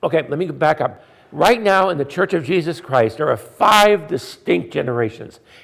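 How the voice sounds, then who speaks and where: A man's fairly high voice swings very widely in pitch, with vocal fry. He keeps a moderate pace. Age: 70s. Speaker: pastor and church consultant. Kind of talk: conference talk. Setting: conference with live and zoom audience.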